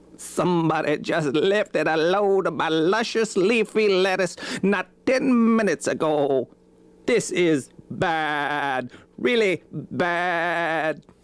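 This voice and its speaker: At a very slow pace, a put-on character voice at middle pitch comes through on a very clean recording with a silent background. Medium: read story. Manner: puzzled.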